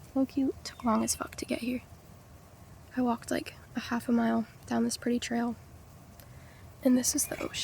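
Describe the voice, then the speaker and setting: Soft-spoken, the voice moves at a moderate pace with long, frequent pauses. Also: woman. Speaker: vlogger. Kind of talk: casual monologue to camera. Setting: outdoors by the ocean. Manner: soft-spoken, low volume.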